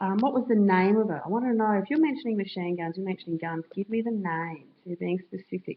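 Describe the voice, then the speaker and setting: At a very fast pace with hardly any pauses, a woman talks at a medium pitch with ordinary pitch variation. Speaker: high school history teacher. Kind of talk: tutorial.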